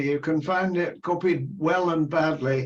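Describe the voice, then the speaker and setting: At a fairly slow pace, a man with an English accent talks with ordinary pitch variation. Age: 80s+. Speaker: retired anthropologist. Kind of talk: interview conversation. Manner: halting.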